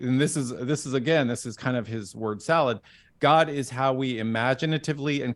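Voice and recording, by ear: The pitch moves with ordinary variation. The text is read aloud in a natural voice.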